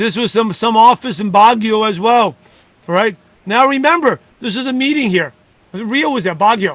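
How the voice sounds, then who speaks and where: Lively intonation from a man with a high pitch. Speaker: network marketing leader and coach. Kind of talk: motivational talk. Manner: fast.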